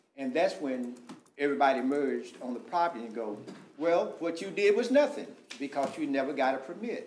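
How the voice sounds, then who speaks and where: A man with a fairly high voice talks at a fairly quick pace over light background noise, with audible room echo. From Texas. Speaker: pastor and contractor; pastor, contractor. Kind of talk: public comment at council meeting. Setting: city council chamber. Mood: earnest, explaining himself. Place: meeting room. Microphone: podium.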